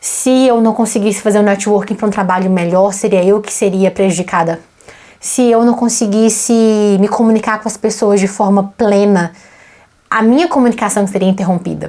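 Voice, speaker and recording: A woman with a Brazilian accent speaks at a medium pitch. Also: fairly even intonation, moderate pace. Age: 20s. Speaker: vlogger and English teacher. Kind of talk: casual personal vlog monologue.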